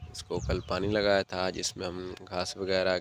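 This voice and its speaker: Noticeable background noise surrounds a man's fairly low, monotone voice with flat intonation. The sound is dry with no echo. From Sindh, Pakistan (Punjabi family). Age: 30s. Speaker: farmer. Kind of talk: farm tour vlog. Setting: outdoors. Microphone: phone near.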